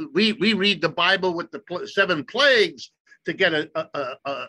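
A man with an American accent speaks at a fairly slow pace in a raised, projected voice that sits high for a man. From US Midwest, Ohio. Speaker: economist. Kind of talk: interview.

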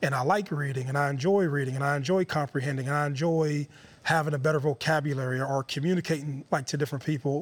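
Talking very fast, a man with an American accent uses a fairly high pitch, fairly even intonation and very even loudness. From Youngstown, Ohio. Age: 30s. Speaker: former football player. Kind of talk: interview.

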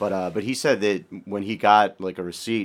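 A man talks in a fairly low pitch. His intonation is monotone and flat. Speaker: podcast host. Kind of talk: casual chat.

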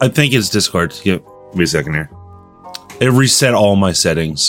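Someone reads aloud in a natural voice, the intonation lively.

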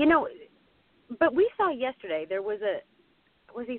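A woman with an American accent, a fairly high pitch and very wide pitch swings. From Pittsburgh, Pennsylvania. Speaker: TV sports anchor. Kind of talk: casual chat.

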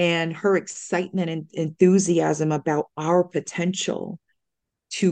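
Against a quiet background, a woman speaks fairly slowly in a very deep, low pitch with a dark, mellow tone and monotone, flat intonation. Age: 40s. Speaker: clinical social worker and trauma therapist. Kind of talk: casual chat.

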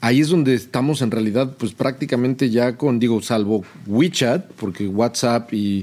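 A man with a plain, everyday voice talks at a moderate pace and medium pitch with ordinary pitch variation. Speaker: podcast co-host, video game industry founder. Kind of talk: casual chat.

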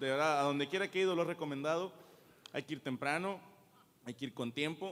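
A man with a central Mexican accent at a very fast pace, with ordinary pitch variation. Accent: Mexican, central Mexico. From Mexico, Cuautla (Morelos). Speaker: stand-up comedian. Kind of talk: stand-up comedy. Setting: stage with audience. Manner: animated, profane, rapid-fire storytelling; self-deprecating, jokey, conversational with audience.

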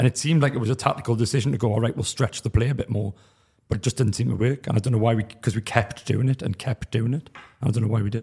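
Very fast and somewhat breathy, a man with a dark, mellow tone speaks with fairly even intonation. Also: medium pitch for a man. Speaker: football pundit panellist. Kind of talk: casual football analysis.

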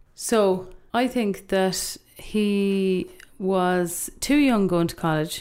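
A woman with an Irish accent speaks at a very slow pace with ordinary pitch variation. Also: medium pitch for a woman. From Ireland. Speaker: youth worker. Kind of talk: casual chat. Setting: studio.

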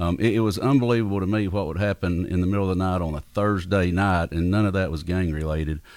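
A man speaks at a fairly quick pace with a very deep, low pitch. The recording is very clean, with a silent background. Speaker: mayoral candidate. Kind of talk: interview. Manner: soft-spoken.

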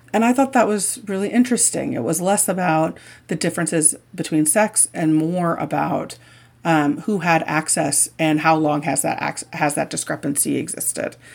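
With a Midwestern US accent, a woman talks at a moderate pace in a fairly low pitch with lively intonation, on a very clean recording with a silent background. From Indiana. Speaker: sports journalist and author. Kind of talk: interview.

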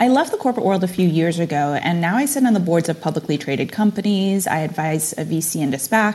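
A woman speaks at a very fast pace. Her voice is fairly low and somewhat breathy. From immigrant family, moved to US at age six. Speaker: digital marketing executive and NFT space host. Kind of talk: interview conversation.

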